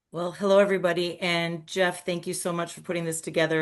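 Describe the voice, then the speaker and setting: A woman talks with a Minnesotan accent at a fairly low pitch. Her intonation stays fairly even over a quiet background. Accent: Minnesota. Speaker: craft distiller. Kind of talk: panel discussion.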